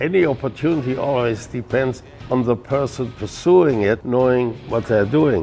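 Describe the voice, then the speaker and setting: With music in the background, a man with a German accent speaks at a moderate pace and medium pitch, using ordinary pitch variation. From Germany. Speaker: brewmaster. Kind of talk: interview answer.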